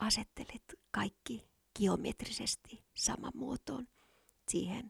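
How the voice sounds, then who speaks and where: A woman with a fairly high pitch and vocal fry speaks very slowly, with long, frequent pauses and fairly even intonation. The sound is dry and close, with no echo. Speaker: podcast host. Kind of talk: whispered ASMR monologue, intimate and sensual, like a close-mic love confession. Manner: soft, slow, breathy and hushed, dreamy and teasing, with kisses at the end.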